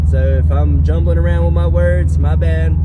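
A man talks at a moderate pace. The sound is dry with no echo, but the background noise is loud. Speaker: car vlogger. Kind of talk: casual vlog chat. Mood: warm, thankful. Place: car. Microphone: phone near.

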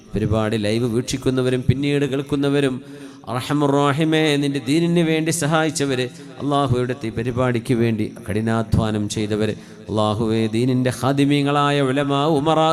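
A man talks with very even loudness and fairly even intonation, and audible room echo surrounds his voice. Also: medium pitch for a man. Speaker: Islamic preacher. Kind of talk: sermon with supplication prayer.

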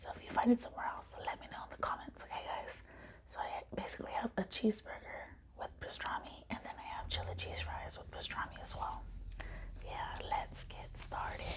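Whispering at a fairly quick pace, a woman is heard. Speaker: ASMR eating-show creator. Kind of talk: casual talk to camera. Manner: whispered. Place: home room. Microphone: phone near.

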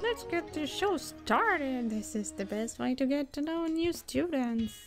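A woman puts on a high-pitched character voice at a moderate pace, with clear music in the background. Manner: cheerful, eager.

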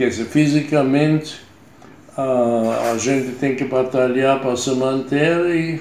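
In a room with audible echo and light background noise, a man talks very slowly at a medium pitch with fairly even intonation. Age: 90s. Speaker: retired consultant and writer; interviewee. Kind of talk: interview. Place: home room. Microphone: phone near.

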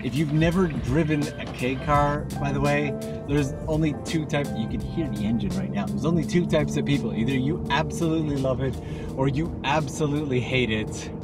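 A fairly quick pace and a dry sound with no echo, set against loud music in the background. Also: man. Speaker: travel vlogger. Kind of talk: casual vlog chat. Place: car. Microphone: phone near.

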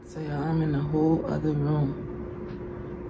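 A woman is speaking. Noticeable background noise is present. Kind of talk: casual vlog chat. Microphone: phone near.

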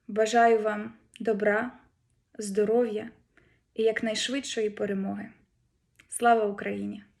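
A woman's fairly high voice, very slow and monotone, broken by long, frequent pauses. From Ukraine. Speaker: head of a research institute branch. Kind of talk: formal greeting address. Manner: formal.

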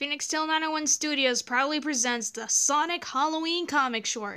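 With ordinary pitch variation, a woman talks in a bright, sharp tone that is also clear and smooth.

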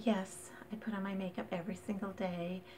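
The woman's intonation is monotone and flat, her pace moderate, and noticeable background noise sits behind her. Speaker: vlogger. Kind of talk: casual vlog chat. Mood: warm and friendly. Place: home room. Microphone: phone near.

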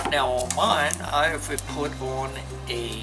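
A man talks over clear music playing in the background. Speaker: outdoor gear video host. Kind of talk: tutorial. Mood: relaxed, friendly. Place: home room.

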